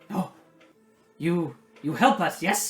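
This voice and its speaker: A man puts on a character voice pitched high. Faint music plays in the background. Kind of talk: broken, halting speech.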